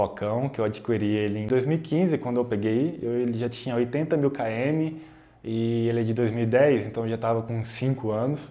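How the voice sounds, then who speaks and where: A man speaks in an ordinary speaking voice, at medium pitch and a moderate pace. His pitch varies in an ordinary way. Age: 20s. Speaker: YouTuber, software developer. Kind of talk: casual vlog explanation. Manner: casual, conversational.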